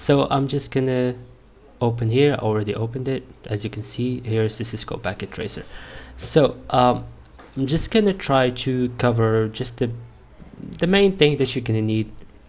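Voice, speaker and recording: Long, frequent pauses break up the speech of a man with a non-native accent. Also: medium pitch for a man, ordinary pitch variation, moderate pace. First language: not English. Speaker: networking student. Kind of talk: tutorial. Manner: halting.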